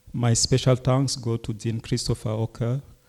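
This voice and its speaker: A man speaks with a non-native accent and a dark, mellow tone. His pace is moderate and his intonation monotone and flat. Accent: foreign accent kept, non-native English. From Cameroon. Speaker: Jesuit priest and professor. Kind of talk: lecture. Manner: formal.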